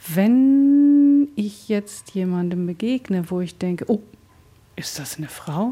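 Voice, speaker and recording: Background noise is noticeable here. A woman's voice comes through it. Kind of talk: radio interview.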